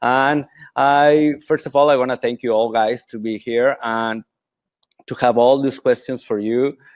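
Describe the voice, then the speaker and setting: A man speaks with a Mexican accent at a medium pitch and a fairly slow pace. The sound is dry and close, with no echo. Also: fairly even intonation, quiet background. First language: Spanish. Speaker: triathlon coach. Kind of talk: webinar presentation. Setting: online webinar. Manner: halting, many fillers.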